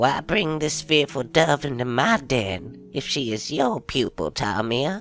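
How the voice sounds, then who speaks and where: Faint music plays as a put-on character voice at a low-to-middle pitch moves at a fairly slow pace. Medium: read story. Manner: haughty, predatory.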